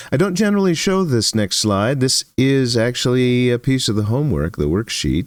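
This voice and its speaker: A man speaks at a moderate pace with very wide pitch swings. The recording is very clean, with a silent background. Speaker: electronics teacher. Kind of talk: lecture. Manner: halting with fillers.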